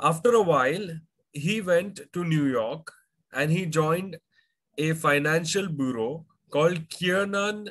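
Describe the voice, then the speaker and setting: Against a quiet background, a man talks at a very slow pace with ordinary pitch variation. His speech has long, frequent pauses. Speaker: finance educator. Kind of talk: lecture. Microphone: webcam.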